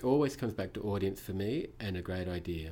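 Speaking with a New Zealand accent, a man has a dark, mellow tone and ordinary pitch variation. His pace is moderate. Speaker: museum director of exhibitions. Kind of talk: casual interview.

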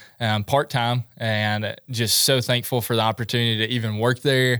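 A man with a West Tennessee accent speaks at a moderate pace and medium pitch in a bright, sharp tone with monotone, flat intonation. The recording is very clean, with a silent background and a dry, close sound with no echo. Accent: US Southern (West Tennessee). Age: 20s. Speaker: outdoorsman and social media photographer. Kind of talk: casual interview chat.

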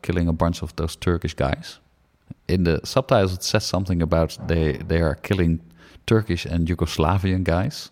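Here a man with a Dutch accent speaks at a moderate pace, his very deep, low voice showing ordinary pitch variation. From Netherlands. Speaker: film podcast co-host. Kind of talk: casual chat.

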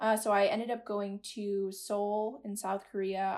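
A woman of medium pitch at a fairly slow pace in a plain, everyday voice, on a very clean recording with a silent background. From Massachusetts, near Boston. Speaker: university student. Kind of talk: casual interview.

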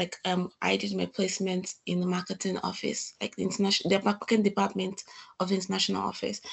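Speaking at a fairly quick pace, a woman uses a medium pitch and monotone, flat intonation, with vocal fry. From Nigeria. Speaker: postgraduate student. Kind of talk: interview.

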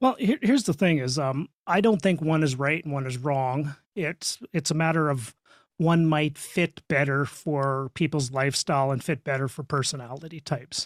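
In a western Canadian accent, a man with a fairly high pitch and ordinary pitch variation talks at a moderate pace, the sound dry and close with no echo in a very clean recording with a silent background. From Saskatchewan, Canada. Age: 50s. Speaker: real estate investor and coach. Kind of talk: podcast interview.

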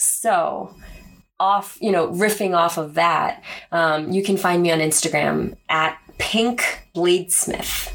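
This woman with an American accent has a fairly low pitch and talks at a very slow pace, her loudness very even and her intonation fairly even. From Korea-born, raised New York City and US East Coast. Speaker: podcast co-host, bladesmith. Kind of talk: casual chat. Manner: talkative.

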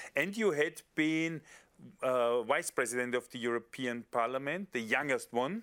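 Recorded very cleanly against a silent background, a man with a German accent speaks at medium pitch and a moderate pace with ordinary pitch variation. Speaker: podcast host, member of European Parliament. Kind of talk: casual interview.

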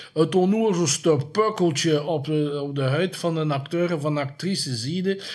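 Barely pausing, a man talks at a moderate pace with a fairly high pitch and ordinary pitch variation. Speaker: horror filmmaker and streaming platform owner. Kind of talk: interview. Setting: at the guest's home or office. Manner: repeats words, halting.

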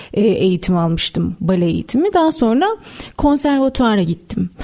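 A woman's voice amid noticeable background noise. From Istanbul, Turkey. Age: 30s. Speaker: writer. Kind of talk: radio interview. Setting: radio studio.

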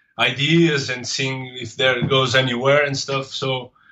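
A man speaks with a Portuguese accent. His intonation is monotone and flat. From Portugal. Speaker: comics artist. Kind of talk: interview. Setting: remote call. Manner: halting.

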